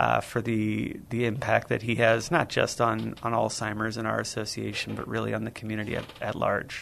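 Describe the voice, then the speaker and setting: A man with a Midwestern American accent speaks at a moderate pace. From US Midwest, St. Louis, Missouri. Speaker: nonprofit representative. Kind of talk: radio interview.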